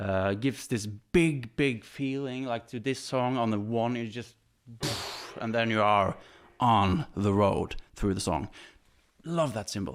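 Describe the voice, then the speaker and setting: A man with a Norwegian accent talks at a medium pitch with ordinary pitch variation and a fairly slow pace. He leaves long, frequent pauses on a very clean recording with a silent background. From Norway. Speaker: drummer. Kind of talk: equipment demo. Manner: animated.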